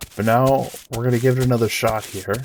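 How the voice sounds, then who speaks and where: A man talks at a moderate pace in a medium pitch. Noticeable background noise runs behind him. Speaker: gaming video creator. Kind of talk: gameplay commentary. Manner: hesitant, many fillers.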